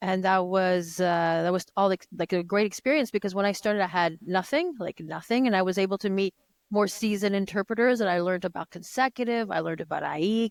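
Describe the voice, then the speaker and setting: In a French accent, a woman talks at a very fast pace with hardly any pauses, her medium pitch showing ordinary variation in a dry, close sound with no echo. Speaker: conference interpreter. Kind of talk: podcast interview. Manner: halting, many false starts.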